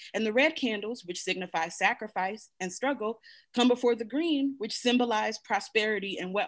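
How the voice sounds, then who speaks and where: A woman with an American accent talks at a moderate pace in a fairly high voice. Her pitch varies in an ordinary way against a quiet background. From US, Buffalo, New York; New York. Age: 40s. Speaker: Kwanzaa practitioner; guest. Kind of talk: panel discussion. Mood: warm, earnest teaching. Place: home room. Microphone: video call.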